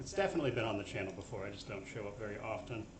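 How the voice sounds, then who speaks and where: A man speaking at a very fast pace, with audible room echo and noticeable background noise. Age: 30s. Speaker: gaming streamer. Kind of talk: live stream commentary. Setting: live stream. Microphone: voice too quiet, staticky after adding gain.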